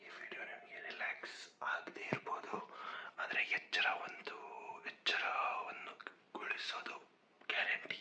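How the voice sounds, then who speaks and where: Someone whispers over noticeable background noise. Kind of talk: whispered ASMR vlog, casual talk to camera. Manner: whispered, soft.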